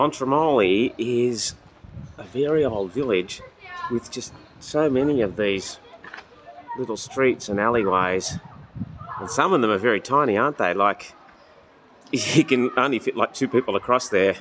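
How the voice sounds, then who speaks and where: At a moderate pace, a man with a medium-pitched voice talks in a relaxed tone with ordinary pitch variation, long and frequent pauses, and noticeable background noise. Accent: Australian. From Australia. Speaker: travel vlogger, pilgrim. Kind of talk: casual vlog chat. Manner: casual, relaxed.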